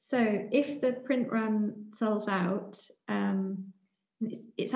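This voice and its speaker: A woman speaks with a British accent. The room echo is audible. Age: 40s. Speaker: writer and artist. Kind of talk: interview. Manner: halting, frequent fillers.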